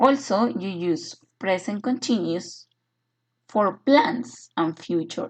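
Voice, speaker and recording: This woman talks very slowly. There is a somewhat breathy quality to her voice. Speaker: English teacher. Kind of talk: online lecture. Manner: hesitant with filler sounds.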